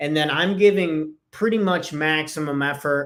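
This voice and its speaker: Pitched fairly high with ordinary variation, a man talks in an unremarkable speaking voice. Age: 20s. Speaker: business and life coach. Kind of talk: solo podcast talk. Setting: video recording with screen share. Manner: casual.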